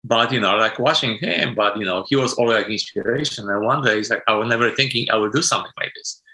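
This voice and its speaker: Speaking at a very fast pace with hardly any pauses, a man with a Polish accent has a medium pitch, a bright, sharp tone and fairly even intonation. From Poland. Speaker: sound designer. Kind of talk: interview. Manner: non-native, broken grammar.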